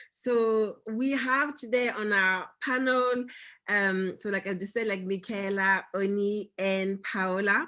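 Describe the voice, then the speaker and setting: In a French accent, a woman talks at a very slow pace with medium pitch, ordinary pitch variation and a bright, sharp tone. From France. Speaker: company founder and panel host. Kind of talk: virtual panel discussion. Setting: video call. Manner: halting, many fillers.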